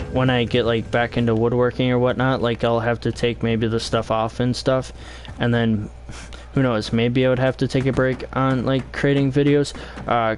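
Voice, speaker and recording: Flat, monotone delivery at a very even loudness, with noticeable background noise. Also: man, medium pitch for a man, moderate pace. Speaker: video game streamer. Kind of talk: live gameplay stream chat. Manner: halting, many fillers.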